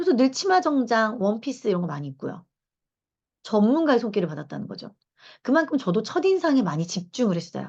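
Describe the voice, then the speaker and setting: A woman with a fairly high pitch speaks at a fairly quick pace in an animated tone. Her pitch swings very widely and her voice is somewhat breathy. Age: 40s. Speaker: lecturer and reading club leader. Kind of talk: lecture. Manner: conversational, animated.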